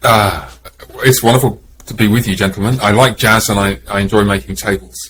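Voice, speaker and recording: This man has an English accent and a fairly low pitch. He speaks at a fairly quick pace with ordinary pitch variation. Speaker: pastor. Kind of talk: casual chat. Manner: halting.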